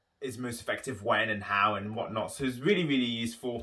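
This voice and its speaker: With a London accent, a man talks at a very fast pace with ordinary pitch variation. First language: not English. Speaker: musical theatre performer and vlogger. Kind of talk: casual vlog talk.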